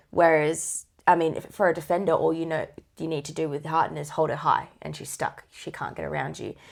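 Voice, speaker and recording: In a quiet setting, a woman with an Australian accent talks at a moderate pace. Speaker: netball podcast co-host. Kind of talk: casual sports chat.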